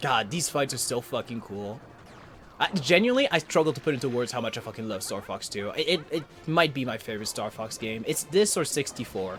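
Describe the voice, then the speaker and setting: Fairly quick speech from a man over background music. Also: medium pitch for a man, lively intonation. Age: 30s. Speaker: gaming streamer. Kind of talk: casual gameplay commentary. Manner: energetic, animated.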